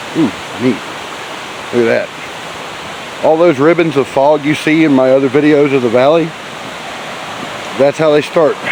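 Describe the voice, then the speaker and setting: The speaker has a Southern US accent and a fairly slow pace, with long, frequent pauses. Noticeable background noise runs underneath. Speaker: hiking vlogger. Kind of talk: casual trail vlog narration. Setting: outdoors on a hiking trail. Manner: speaking a little loudly.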